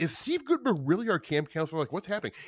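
A man with an American accent speaks in an animated tone with very wide pitch swings, the sound dry and close with no echo. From Nebraska, Omaha. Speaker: podcast host. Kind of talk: casual chat.

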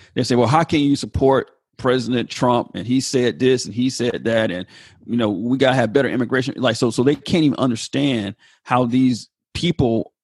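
A man with an American accent has an ordinary speaking voice at a medium pitch, with ordinary pitch variation. He talks at a fairly quick pace, and the sound is dry and close with no echo. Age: 40s. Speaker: pastor. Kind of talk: casual chat.

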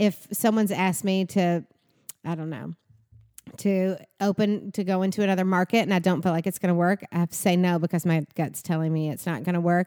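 In a Southern US accent, a woman speaks with fairly low pitch, a dark, mellow tone and fairly even intonation, the sound dry and close with no echo on a very clean recording with a silent background. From Kentucky, Bowling Green. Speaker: salon business owner. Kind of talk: interview, casual chat.

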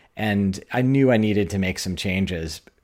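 A man with a normal speaking voice talks at a fairly low pitch, with ordinary pitch variation. The recording is very clean, with a silent background. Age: 50s. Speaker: podcast host. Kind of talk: interview; read-out ad.

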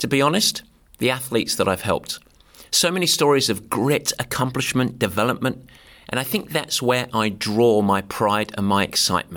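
With an American accent, a man speaks in an upbeat tone and lively intonation at a moderate pace and medium pitch, his loudness very even on a very clean recording with a silent background. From southeast England. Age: 50s. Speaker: podcast host and endurance sports coach. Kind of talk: reflective solo monologue. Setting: studio, filmed on camera. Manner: humorous.

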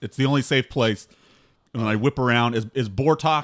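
In a very clean recording with a silent background, a man talks at a moderate pace in a normal speaking voice with ordinary pitch variation. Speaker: tabletop game player. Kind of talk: casual banter.

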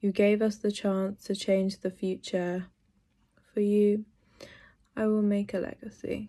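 A woman with a London accent, medium pitch and a dark, mellow tone, monotone and flat in intonation, at a fairly slow pace with long, frequent pauses against a quiet background. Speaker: poet. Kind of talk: interview with poetry reading.

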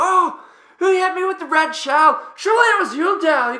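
Shouting in an extremely high-pitched, put-on character voice, the speaker keeps a moderate pace. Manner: screaming, indignant.

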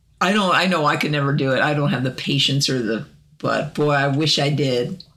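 With an American accent, a man talks at a fairly quick pace and a fairly high pitch, his loudness very even and his pitch varying in an ordinary way, while background noise is noticeable. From Arkansas, US South. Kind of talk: casual chat.

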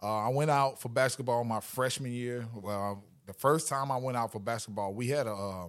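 Lively in intonation, a man with a plain, everyday voice speaks at a medium pitch and moderate pace on a very clean recording with a silent background. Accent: American. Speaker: football coach, former pro player. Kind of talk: casual interview. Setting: coaching clinic.

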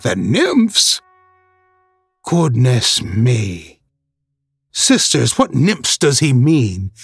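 Putting on a shrill character voice at a medium pitch, a man speaks very slowly with long, frequent pauses while music plays in the background. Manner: shrill, pleading, feigning ignorance.

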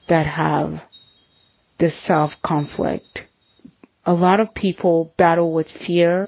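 A woman speaks very slowly in a soothing, gentle tone at a fairly low pitch. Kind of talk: guided meditation. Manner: soothing, slow and gentle, with calm pauses and direct, intimate address.

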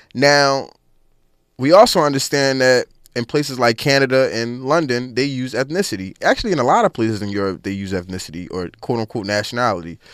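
Here is a man with a plain, everyday voice, a medium pitch and an American accent, speaking at a fairly quick pace. The recording is very clean, with a silent background. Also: lively intonation. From Philadelphia, US. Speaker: reparations activist and organizer. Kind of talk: radio interview.

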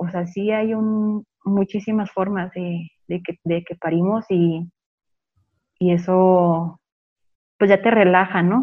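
Her voice rests at a medium pitch. The woman's intonation is monotone and flat. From Chihuahua, Mexico. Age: 20s. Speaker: home birth mother and meditation shop owner. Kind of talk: interview storytelling. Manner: halting with many fillers.

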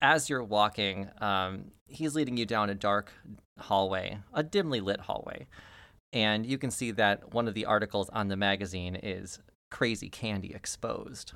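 A man's fairly low-pitched voice at a moderate pace, with ordinary pitch variation. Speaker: tabletop game master and podcast host. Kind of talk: tabletop roleplaying game session. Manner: animated.

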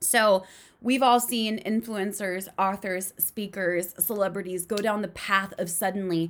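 A woman talks in an animated tone at a moderate pace. Her voice sits at a medium pitch with ordinary pitch variation. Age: 30s. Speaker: podcast host. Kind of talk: solo monologue.

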